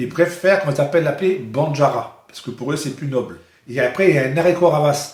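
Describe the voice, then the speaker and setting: A man with a fairly high voice speaks fairly quickly, his delivery somewhat breathy. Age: 60s. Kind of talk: interview. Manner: halting.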